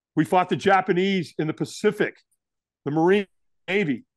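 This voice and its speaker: A man with an American accent speaks at a moderate pace in a high pitch, his tone animated and his pitch varying in an ordinary way. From Southern California. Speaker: firewalk instructor and motivational speaker. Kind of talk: interview storytelling.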